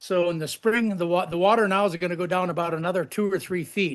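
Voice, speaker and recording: A man speaks at a moderate pace with a high pitch and ordinary pitch variation, in an American accent. The background is quiet. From Minnesota, US Midwest. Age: 70s. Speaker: lodge owner and former farmer. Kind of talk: casual chat, video tour.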